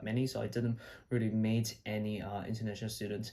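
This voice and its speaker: The speech comes at a very fast pace. Its intonation is monotone and flat. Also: man. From China. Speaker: medical student, video blogger. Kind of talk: casual vlog talk. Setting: his old bedroom at home. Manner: casual, with fillers and repeats.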